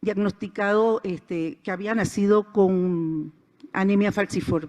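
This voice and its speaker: Against a quiet background, a woman speaks at a very slow pace and medium pitch. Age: 60s. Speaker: conference speaker. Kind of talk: inspirational talk. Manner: animated.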